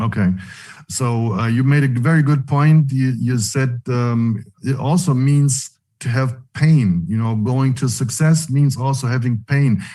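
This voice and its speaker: A man's somewhat breathy, dark, mellow voice with a non-native accent, medium pitch, ordinary pitch variation and fairly slow pace. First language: not English. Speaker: online meeting host. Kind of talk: online leadership call interview. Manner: halting.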